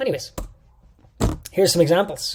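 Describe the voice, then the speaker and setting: A man talks in a somewhat breathy voice. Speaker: fitness coach educator. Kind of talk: lecture. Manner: fast; animated.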